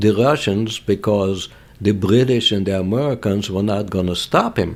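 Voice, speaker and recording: A man with a non-native accent, fairly low in pitch, at a moderate pace with ordinary pitch variation. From Lithuania. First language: not English. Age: 80s+. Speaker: Holocaust survivor. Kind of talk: interview testimony.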